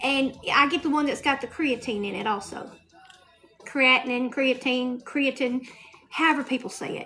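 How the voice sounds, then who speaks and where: Over noticeable background noise, a woman with a Southern US accent speaks at a moderate pace in a raised, projected, high voice with fairly even intonation. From US South. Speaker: lifestyle livestreamer. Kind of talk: casual livestream chat.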